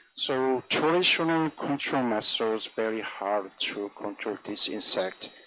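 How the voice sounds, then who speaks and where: Against noticeable background noise, the speaker talks with a non-native accent at a fairly slow pace, with lively intonation and hardly any pauses. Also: man, medium pitch for a man. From South Korea. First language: Korean. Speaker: agricultural scientist. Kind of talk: conference talk. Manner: halting.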